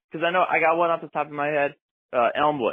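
With an American accent, the speaker moves along at a fairly quick pace. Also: man. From Connecticut, Litchfield County. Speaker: caller. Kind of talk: voicemail call-in. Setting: phone call. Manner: halting.

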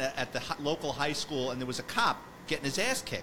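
A man's very fast, fairly high-pitched voice with a New York accent, over noticeable background noise. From New York City, the Bronx. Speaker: retired police detective, podcast host. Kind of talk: casual interview chat.

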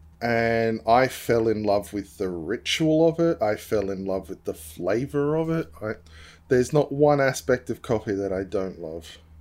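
In a very clean recording with a silent background, a man with an Australian accent speaks fairly slowly at a medium pitch with lively intonation. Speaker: streamer. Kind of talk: casual chat.

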